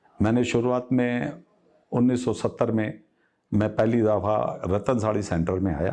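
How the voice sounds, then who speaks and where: A man speaks with a dark, mellow tone at a fairly low pitch, keeping his loudness very even and his pitch variation ordinary. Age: 60s. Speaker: textile business owner. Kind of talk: interview.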